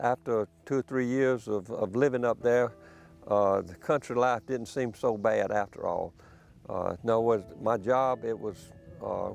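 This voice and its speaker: Someone speaks with a Southern US accent while music plays in the background. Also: man. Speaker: poultry farmer. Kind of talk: interview. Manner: halting.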